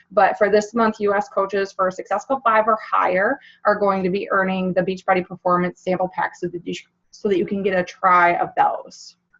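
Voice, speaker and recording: A woman's raspy put-on character voice at a medium pitch and a fairly quick pace. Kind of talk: upbeat, coaching presentation. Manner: talking fast.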